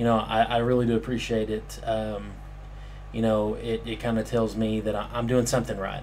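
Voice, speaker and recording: Audible room echo surrounds a man as he speaks at a moderate pace. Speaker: gaming commentator. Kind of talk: casual vlog talk. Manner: halting, many fillers.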